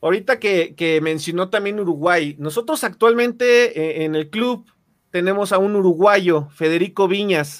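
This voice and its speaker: A man with a Mexican accent, high in pitch, at a fairly slow pace. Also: ordinary pitch variation. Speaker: podcast host. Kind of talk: interview.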